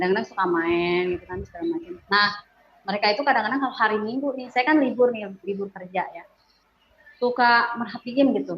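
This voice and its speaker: A woman races along at a very fast pace with lively intonation and big swings in loudness. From Bandung, West Java, Indonesia (Sundanese). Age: 40s. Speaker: religious convert giving testimony. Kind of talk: testimony. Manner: casual, hesitant with fillers.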